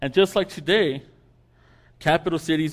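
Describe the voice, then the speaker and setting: A man speaks with vocal fry and ordinary pitch variation on a very clean recording with a silent background. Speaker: guest preacher; campus ministry worker. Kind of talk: sermon. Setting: church. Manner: stuttering.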